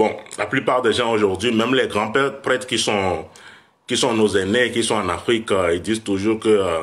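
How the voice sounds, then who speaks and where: Ordinary pitch variation runs through speech at a moderate pace. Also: man, fairly low pitch for a man. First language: West African language (Fon/Ewe area) (speaking French). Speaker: vodou priest. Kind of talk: livestream talk. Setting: live video stream. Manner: halting.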